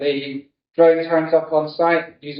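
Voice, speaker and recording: A man with a British accent. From UK. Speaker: insurance technology strategy director. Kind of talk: conference keynote talk. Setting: stage with audience.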